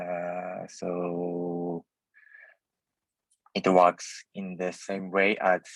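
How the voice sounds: A man speaks with a low voice. His intonation is flat and monotone. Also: dry, close sound with no echo.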